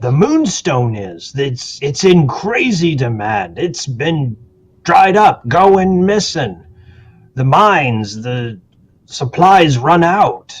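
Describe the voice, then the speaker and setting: This man uses a put-on character voice, pitched fairly high. He talks at a very slow pace. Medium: actual play. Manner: guarded, folksy.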